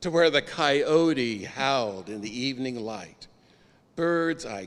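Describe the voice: The intonation is lively throughout this plain reading aloud.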